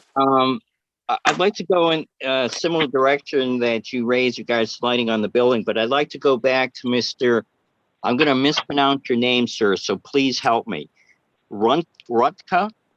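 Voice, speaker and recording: The recording has a dry, close sound with no echo. A man at a medium pitch speaks at a moderate pace with ordinary pitch variation. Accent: American. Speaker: planning commissioner. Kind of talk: public meeting discussion. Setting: video or phone call. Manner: halting.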